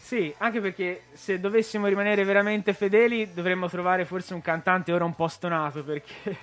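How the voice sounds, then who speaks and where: A man's high-pitched voice at a fairly quick pace with hardly any pauses and fairly even intonation, music in the background. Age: 20s. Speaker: rock band drummer. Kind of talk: radio interview. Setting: radio studio.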